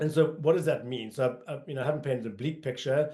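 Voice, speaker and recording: Speaking with a South African accent, a man has a dark, mellow tone and ordinary pitch variation. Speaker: marketing agency executive. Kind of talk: webinar presentation. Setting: online colloquium. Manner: frequent fillers (um, uh).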